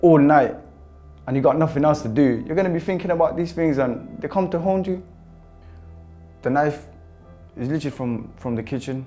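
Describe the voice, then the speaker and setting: Music plays behind a man who speaks at a fairly quick pace with lively intonation. He leaves long, frequent pauses. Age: 20s. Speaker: prisoner. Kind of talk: interview answer. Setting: prison. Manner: candid, reflective.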